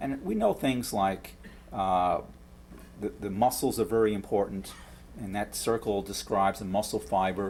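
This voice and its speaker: A man's fairly low pitch at a moderate pace. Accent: New York. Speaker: professor. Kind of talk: lecture. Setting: lecture hall with audience. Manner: halting with frequent repetitions.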